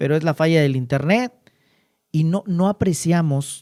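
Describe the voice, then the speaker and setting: A man talks in a dark, mellow tone with ordinary pitch variation. The sound is dry and close, without echo. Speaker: interviewer, communicator. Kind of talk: interview questions.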